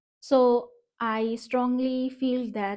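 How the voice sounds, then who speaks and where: A woman with a Bengali accent speaks in a dark, mellow tone and a flat monotone. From Northeast India. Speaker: vlogger. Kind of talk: personal vlog. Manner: hesitant, many fillers.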